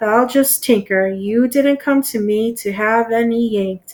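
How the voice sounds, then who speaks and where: A woman does a gruff, put-on character voice at a fairly high pitch, with fairly even intonation and a moderate pace. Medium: read story. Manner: gruff, low, muttering.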